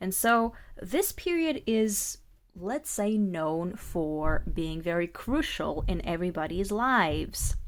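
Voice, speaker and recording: A woman speaks very slowly with lively intonation in a very clean recording with a silent background. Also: medium pitch for a woman. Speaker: tarot reader. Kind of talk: tarot reading talk to camera.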